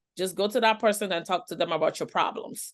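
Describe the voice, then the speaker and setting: Against a quiet background, a woman talks at a very fast pace, medium in pitch, with fairly even intonation. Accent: non-native. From outside the Western world, moved to US at age nine. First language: not English. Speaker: trafficking survivor and professional panelist. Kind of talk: webinar panel discussion. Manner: conversational, many fillers and repetitions.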